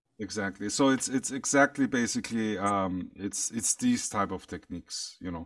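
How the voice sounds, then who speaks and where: A man talks with a German accent and hardly any pauses. The recording is very clean against a silent background. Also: moderate pace. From Iran, lives in Austria. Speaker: futurist and speaker. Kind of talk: interview conversation. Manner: halting, hesitant with fillers.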